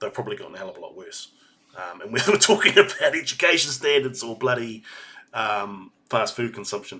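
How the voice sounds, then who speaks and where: A man with a New Zealand accent speaks at a medium pitch with a bright, sharp tone, his pitch swinging very widely and his loudness rising and falling sharply. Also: fairly quick pace. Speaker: video reactor. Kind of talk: reaction commentary. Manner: halting.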